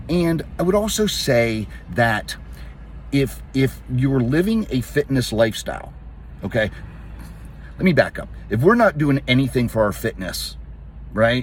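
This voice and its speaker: Over noticeable background noise, a man with an American accent talks at a fairly slow pace with long, frequent pauses. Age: 60s. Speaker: fitness coach. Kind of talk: casual talk to camera. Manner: halting.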